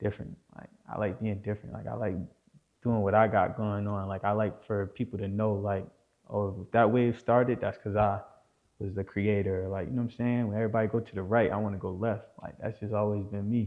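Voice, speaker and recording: A man with an American accent speaks at a fairly low pitch in a monotone, flat intonation. His pace is fairly quick. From New Jersey. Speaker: rapper. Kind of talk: casual interview.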